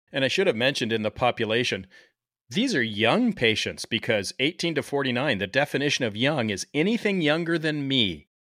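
With lively intonation and a fairly quick pace, a man talks at a medium pitch in an ordinary speaking voice. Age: 50s. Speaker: podcast host, emergency physician. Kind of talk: scripted narration; casual interview.

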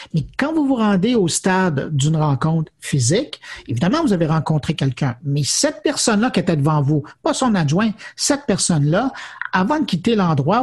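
Very wide pitch swings run through the high voice of this man. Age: 50s. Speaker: technology journalist and media executive. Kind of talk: interview.

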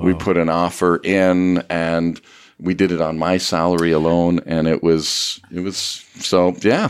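A man with a Canadian accent speaks in a very deep, low pitch with monotone, flat intonation. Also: fairly slow pace. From Ottawa area, Canada. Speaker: radio show co-host on finance. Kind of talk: storytelling interview.

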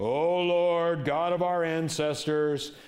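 A man's put-on character voice at fairly high pitch, very slow in pace, with an audible echo. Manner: solemn, fancy, formal.

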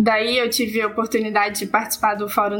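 Noticeable background noise beneath a female speaker's fairly high pitch. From Minas Gerais, Brazil (Barbacena). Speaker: social science researcher. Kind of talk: personal testimony in panel discussion.

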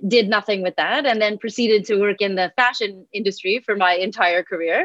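A woman's fairly quick delivery in an ordinary speaking voice, with ordinary pitch variation. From Montreal, Canada. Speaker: granola company founder. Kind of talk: casual advice conversation.

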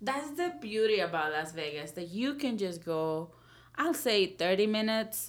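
A woman with a Spanish accent and lively intonation. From El Salvador. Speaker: outdoor hiking enthusiast. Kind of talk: casual chat.

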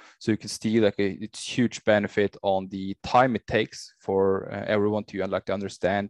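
With a Norwegian accent, a man speaks at a moderate pace and fairly low pitch with fairly even intonation, recorded dry and close with no echo over a quiet background. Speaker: VR technology business developer. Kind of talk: interview. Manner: halting, many fillers.

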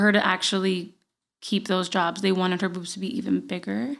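Here a woman speaks with a Puerto Rican accent at medium pitch. The background is quiet. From Puerto Rico (Guaynabo). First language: Spanish. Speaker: podcast host and writer. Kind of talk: casual chat. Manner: laughs often.

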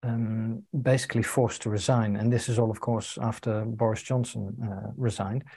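A man speaks at a medium pitch and moderate pace, with hardly any pauses. His tone is dark, mellow and somewhat breathy, with monotone, flat intonation. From UK. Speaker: integral coach, co-interviewer. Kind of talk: casual conversation. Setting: video call.

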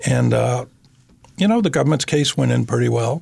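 The speaker is a man. He has an American accent. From Massachusetts, New Bedford. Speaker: criminal defense attorney. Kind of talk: interview. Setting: studio. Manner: articulate, measured pace.

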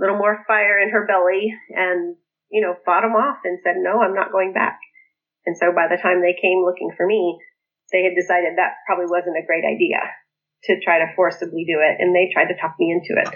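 This is a plain, everyday voice at a moderate pace. Its intonation is fairly even and its loudness very even. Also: woman. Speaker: author and former polygamist cult member. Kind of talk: interview, personal life story.

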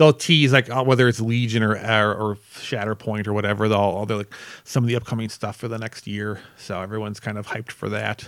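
A man speaks in a plain, everyday voice, fairly low and fairly even in intonation. He goes at a fairly quick pace with hardly any pauses, on a very clean recording with a silent background. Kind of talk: casual chat. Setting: live podcast recording.

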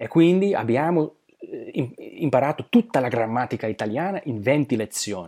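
A man speaks in a fairly high pitch with a dark, mellow tone. His pitch swings very widely. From southern Slovakia. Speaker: polyglot. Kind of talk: interview. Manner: halting.

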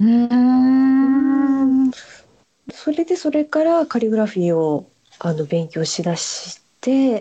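A woman's high-pitched voice, very slow, with very wide pitch swings. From Japan. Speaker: calligrapher and stationery shop owner. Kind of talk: interview.

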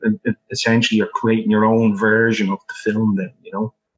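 A man speaks with an Irish accent at a medium pitch. The sound is dry and close with no echo. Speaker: film director.

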